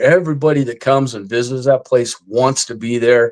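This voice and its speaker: A man with a medium-pitched voice speaks at a moderate pace in a normal speaking voice, on a very clean recording with a silent background. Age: 60s. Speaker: army veteran and retired police officer, paranormal investigator. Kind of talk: casual interview chat. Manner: casual, filler-heavy.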